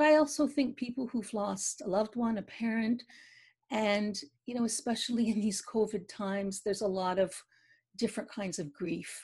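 A woman speaks in a Canadian accent against a quiet background. Her voice is fairly high and somewhat breathy, with ordinary pitch variation. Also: moderate pace. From Eastern Canada, Quebec near Ottawa. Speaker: poet and novelist; poet. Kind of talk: interview. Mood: warm, reflective about grief. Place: home room. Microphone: video call.

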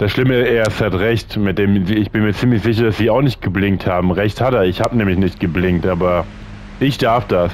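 Through noticeable background noise, a man talks at a fairly quick pace with a fairly low pitch and fairly even intonation. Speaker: gaming video creator. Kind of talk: let's play commentary. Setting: home recording.

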